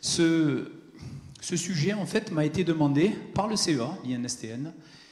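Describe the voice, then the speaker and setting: The speaker is a man. Room echo can be heard. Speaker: physicist giving a conference talk. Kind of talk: lecture. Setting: conference hall with audience. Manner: hesitant, with many fillers.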